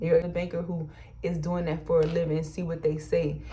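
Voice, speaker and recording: In a room with audible echo, a woman speaks at a fairly quick pace in an animated tone with a fairly low pitch. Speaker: YouTuber and small business co-owner. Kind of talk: personal advice vlog. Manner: fast when excited.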